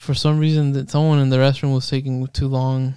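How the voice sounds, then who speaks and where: Medium-pitched male voice with a dark, mellow tone and flat, monotone intonation. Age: 20s. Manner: halting.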